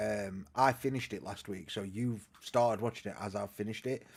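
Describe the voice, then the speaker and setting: Speaking with a northern English accent at a moderate pace, a man is heard on a very clean recording with a silent background. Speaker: podcast host. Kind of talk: casual chat. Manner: loud.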